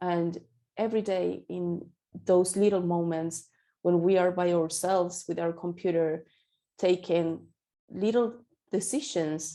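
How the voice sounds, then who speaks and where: Over a quiet background, a woman with a Spanish accent speaks fairly slowly in a fairly low, dark, mellow tone with fairly even intonation and long, frequent pauses. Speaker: accessibility specialist. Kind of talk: interview. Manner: halting.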